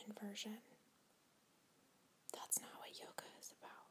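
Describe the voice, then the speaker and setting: Soft-spoken and calm, a woman whispers. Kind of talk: yoga teacher role play, guided relaxation. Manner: whispered, soft-spoken, calm.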